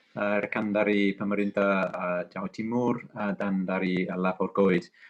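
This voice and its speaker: This man's voice sits fairly low and moves at a moderate pace. His intonation stays flat and monotone. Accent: English. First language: English (speaking Indonesian). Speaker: ambassador. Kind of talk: press conference speech. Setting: online webinar. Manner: halting, many fillers.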